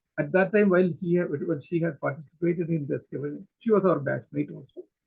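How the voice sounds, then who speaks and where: A man talks very fast in a Keralan accent. His pitch is high, with ordinary variation. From Kerala, India. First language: Malayalam. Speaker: archaeologist. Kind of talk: webinar talk. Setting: video call. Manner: halting, many fillers.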